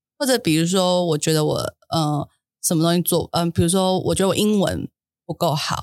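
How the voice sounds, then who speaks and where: A woman talks at a fairly quick pace in an unremarkable speaking voice, fairly low in pitch with ordinary pitch variation. The sound is dry and close, with no echo. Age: 30s. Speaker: podcast co-host. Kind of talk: casual chat.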